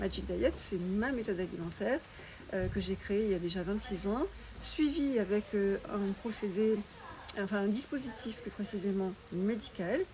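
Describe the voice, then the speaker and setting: Her voice sits at a medium pitch for a woman. She keeps a moderate pace. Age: 60s. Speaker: fitness and nutrition coach. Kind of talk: interview. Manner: hesitant with fillers.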